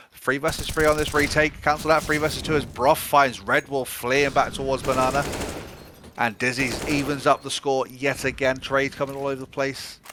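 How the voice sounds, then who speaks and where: Fairly quick speech from a man with a British accent, fairly high pitch and monotone, flat intonation. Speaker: esports commentator. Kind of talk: live commentary. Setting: online stream. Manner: fast.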